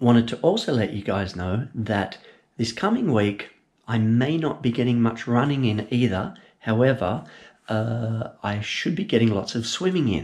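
Against a quiet background, a man with an Australian accent speaks at a moderate pace. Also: ordinary pitch variation. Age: 40s. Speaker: amateur runner. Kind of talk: casual talk to camera. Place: kitchen. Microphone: phone near.

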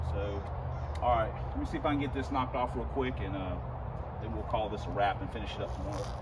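Loud background noise surrounds a man speaking at a very fast pace. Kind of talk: casual vlog chat. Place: street.

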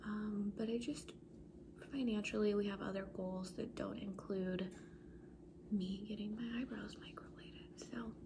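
A woman speaks at a fairly slow pace with long, frequent pauses. Noticeable background noise runs underneath. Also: fairly even intonation. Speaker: beauty vlogger. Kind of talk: casual vlog chat. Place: home room. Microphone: phone near.

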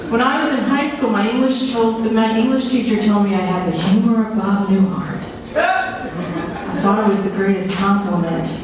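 A woman speaks at a moderate pace with very even loudness and ordinary pitch variation, amid noticeable background noise and strong room echo. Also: hardly any pauses. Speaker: stand-up comedian. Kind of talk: stand-up comedy routine. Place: stage.

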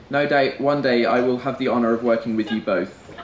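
A man with an English accent talks at a fairly quick pace. Audible room echo and light background noise are present. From England. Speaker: best man. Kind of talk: wedding speech. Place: tent.

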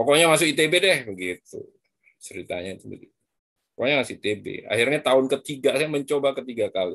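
Over a quiet background, the voice moves at a moderate pace. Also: man. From Madura, East Java, Indonesia; East Java, Indonesia. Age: 40s. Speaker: biology professor; lecturer guest speaker. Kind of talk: lecture. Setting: video call. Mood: relaxed, friendly. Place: home room. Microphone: video call.

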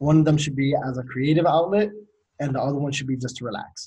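This man's voice is fairly high in pitch, dark and mellow in tone, somewhat breathy, with ordinary pitch variation. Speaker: podcast host. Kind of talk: casual chat. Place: home room. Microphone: video call.

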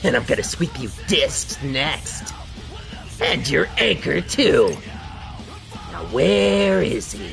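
Clear music plays in the background as a man uses a put-on character voice at a very slow pace. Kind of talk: comic streamer overacting. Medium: game stream. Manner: swaggering, taunting.

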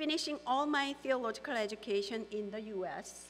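A woman speaks at a fairly quick pace. Her pitch is fairly high. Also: ordinary pitch variation.

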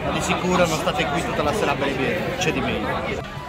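A man's fairly quick speech over crowd noise in the background. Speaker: food vlogger. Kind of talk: casual vlog chat. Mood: relaxed, mildly critical. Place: bar. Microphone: phone near.

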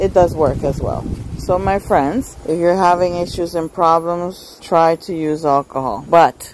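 Fairly low-pitched female speech at a fairly slow pace, with ordinary pitch variation, a dry sound with no echo and light background noise. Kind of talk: casual vlog chat. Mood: delighted about flowering. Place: garden. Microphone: phone near.

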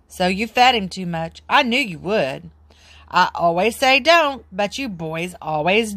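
The reading aloud is plain, with lively intonation.

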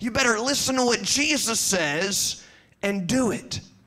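A man's raised, projected voice, ordinary in pitch variation, over light background noise. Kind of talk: children's assembly talk. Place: church. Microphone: handheld.

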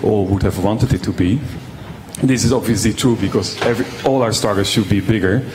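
Ordinary pitch variation, a slightly mellow tone, and faint background noise. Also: man.

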